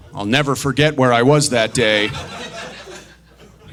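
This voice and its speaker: Noticeable background noise runs under a man's voice. He moves at a moderate pace, and his pitch varies in an ordinary way. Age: 30s. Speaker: stand-up comedian. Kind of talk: stand-up.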